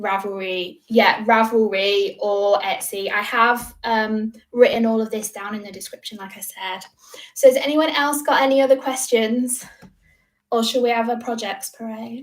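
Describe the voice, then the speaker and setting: A woman with a British accent, fairly high in pitch, with big swings in loudness. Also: ordinary pitch variation. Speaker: crochet designer and YouTuber. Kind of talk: livestream Q&A. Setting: livestream from home. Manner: fast.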